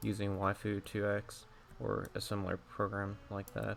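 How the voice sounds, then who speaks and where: With music in the background, a man speaks in a fairly low voice. His pace is fairly slow. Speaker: digital artist. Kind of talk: tutorial. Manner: monotone; halting.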